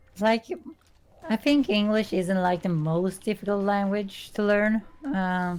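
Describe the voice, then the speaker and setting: With a Swedish accent, a woman speaks at a medium pitch and a fairly slow pace, showing ordinary pitch variation and very even loudness. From Sweden. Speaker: artist. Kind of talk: casual chat. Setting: live stream.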